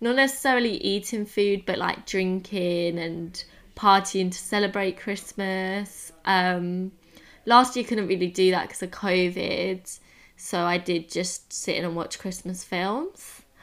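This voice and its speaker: A woman with a medium-pitched voice speaks at a fairly slow pace, keeping her intonation fairly even. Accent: English. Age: 20s. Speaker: podcast co-host. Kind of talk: casual chat.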